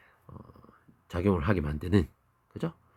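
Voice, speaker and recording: A very clean recording with a silent background and a dry, close sound with no echo. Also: man. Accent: Daegu. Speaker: biology teacher. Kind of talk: lecture. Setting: recorded video lesson. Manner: casual, conversational with dialect asides.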